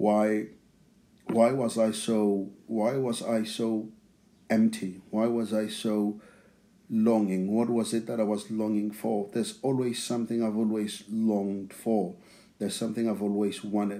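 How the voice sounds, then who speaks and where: The tone is dark and mellow, the intonation flat and monotone. Delivery comes at a fairly slow pace. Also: man, fairly low pitch for a man. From South Africa (township near Pretoria). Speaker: church member sharing testimony. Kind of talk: testimony. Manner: repeats words, halting.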